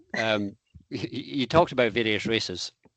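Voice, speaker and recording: An ordinary speaking voice with lively intonation at a moderate pace, against a quiet background. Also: man. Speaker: podcast host. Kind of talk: interview question.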